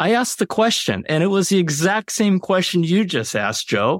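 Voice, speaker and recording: A man with an American accent talks at a moderate pace on a very clean recording with a silent background and a dry, close sound with no echo. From Los Angeles, US. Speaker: author. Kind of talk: interview.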